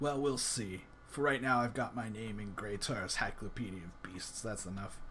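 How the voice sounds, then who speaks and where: A man in a put-on character voice talks at a moderate pace in a raspy, fairly low register, with clear background noise behind him. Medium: actual play. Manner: gruff, world-weary.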